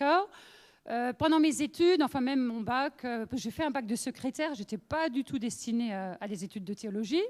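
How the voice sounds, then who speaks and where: Speaking at a moderate pace with an Alsatian accent, a woman uses lively intonation on a very clean recording with a silent background. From Alsace, France (northern, near Lorraine border). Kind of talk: testimony. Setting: women's meeting with audience. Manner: conversational, many fillers.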